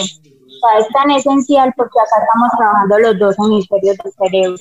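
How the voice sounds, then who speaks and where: Speaking at a moderate pace in an unremarkable speaking voice, a woman keeps a fairly high pitch with ordinary pitch variation. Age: 20s. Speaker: preschool teacher. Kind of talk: interview.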